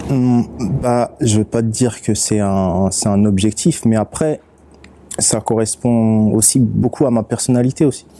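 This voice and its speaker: Against noticeable background noise, a man talks at a fairly slow pace with very even loudness. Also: fairly even intonation. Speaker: rapper and beatmaker. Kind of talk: casual interview chat.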